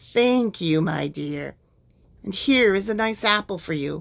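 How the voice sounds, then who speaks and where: Using a put-on character voice, a woman speaks raspy and at a fairly slow pace, her medium pitch moving with lively intonation. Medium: read story. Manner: wheedling.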